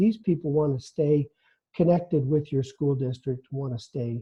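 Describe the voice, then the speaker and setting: The man talks with ordinary pitch variation. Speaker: webinar presenter, training director. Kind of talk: webinar presentation. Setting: online webinar. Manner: fast; halting, many fillers.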